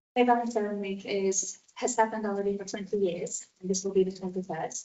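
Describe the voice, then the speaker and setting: A woman with a Latvian accent speaks with fairly even intonation. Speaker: event organiser. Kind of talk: public presentation. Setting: council meeting. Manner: hesitant, many fillers.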